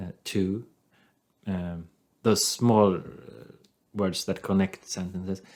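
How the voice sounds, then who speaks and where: In a Swedish accent, a man speaks very slowly with a very deep, low pitch. His intonation is monotone and flat, and his pauses are long and frequent. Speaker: podcast co-host. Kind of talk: casual chat.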